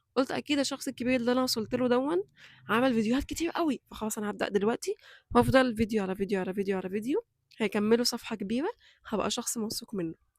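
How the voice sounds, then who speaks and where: On a very clean recording with a silent background and a dry, close sound with no echo, a woman talks at a very fast pace with a fairly high pitch and ordinary pitch variation. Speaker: YouTuber. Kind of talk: motivational vlog talk. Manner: loud voice by nature, trying to control.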